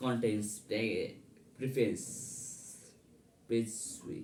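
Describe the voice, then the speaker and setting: A man speaks with a strong non-native accent in a dark, mellow, medium-pitched voice. His intonation is fairly even, and the room echo is audible. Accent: non-native, heavy. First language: not English. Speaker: English learner. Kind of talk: reading aloud. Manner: halting.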